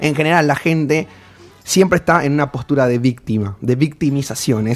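This man speaks with a northern Argentine accent. His pitch is fairly high and his pace moderate. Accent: regional northern Argentine lilt. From Formosa, northern Argentina. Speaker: life coach. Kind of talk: casual chat.

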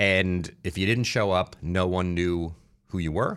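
A man in a New Jersey accent speaks at a moderate pace with a very deep, low pitch on a very clean recording with a silent background. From New Jersey (Newark, Irvington). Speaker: marketing entrepreneur. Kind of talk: interview.

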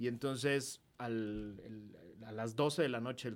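A man's medium pitch, with ordinary pitch variation, sits in a very clean recording with a silent background. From Mexico. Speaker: political activist and commentator. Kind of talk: casual chat. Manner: animated.

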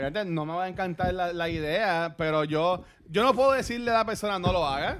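The man's voice sits high in pitch with ordinary variation. He talks at a fairly quick pace. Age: 30s. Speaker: podcast guest. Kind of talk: casual chat.

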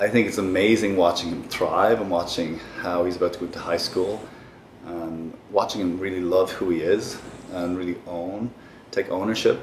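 Over noticeable background noise, a man with a Dublin accent speaks at a very deep, low pitch and a moderate pace, in a monotone, flat intonation. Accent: Irish (Dublin). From Ireland, Dublin. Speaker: therapist and former actor. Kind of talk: casual interview.

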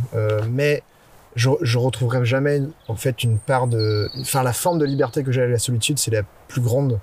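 A man's fairly quick, medium-pitched delivery with fairly even intonation, an unremarkable speaking voice. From Brittany, France. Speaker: photographer and videographer. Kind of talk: casual interview. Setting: outdoors in a forest.

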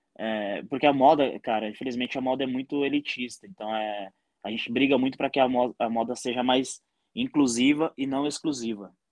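With an ordinary speaking voice, a man talks fairly quickly and with fairly even intonation, the sound dry and close with no echo over a quiet background. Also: medium pitch for a man. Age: 30s. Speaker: entrepreneur. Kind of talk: casual chat.

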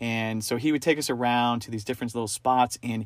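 In a very clean recording with a silent background, a man with an American accent speaks at a medium pitch and a moderate pace. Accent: sometimes taken for a New Yorker. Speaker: podcast co-host. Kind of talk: casual chat.

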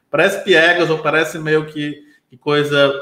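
In a room with audible echo, a man with a fairly high pitch and a bright, sharp tone talks at a moderate pace. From Brazil, Ceará (Sobral). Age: 30s. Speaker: business consultant. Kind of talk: casual interview. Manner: hesitant fillers, frequent né/entendeu.

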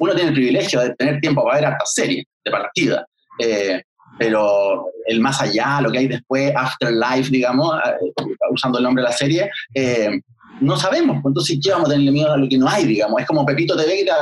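The speaker has a Chilean accent and lively intonation. The pace is fairly quick and the loudness stays very even. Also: man, fairly high pitch for a man. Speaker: podcast guest, series reviewer. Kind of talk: casual chat. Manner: talkative.

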